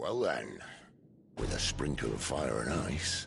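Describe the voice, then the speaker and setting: Putting on a growling character voice, a man speaks fairly slowly at a very deep, low pitch over clear background noise. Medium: video game. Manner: wry, dry humor.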